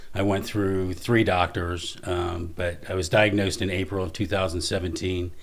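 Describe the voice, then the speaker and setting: A man's very deep, low voice, somewhat breathy and monotone, at a moderate pace with hardly any pauses, in audible room echo. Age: 60s. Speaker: construction business owner with Parkinson's. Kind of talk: podcast interview.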